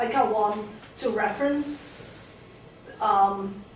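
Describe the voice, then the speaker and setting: A woman speaks with fairly even intonation. Room echo is audible, and there is noticeable background noise. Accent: Hong Kong. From Hong Kong. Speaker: artist. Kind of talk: lecture Q&A. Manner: halting, many restarts.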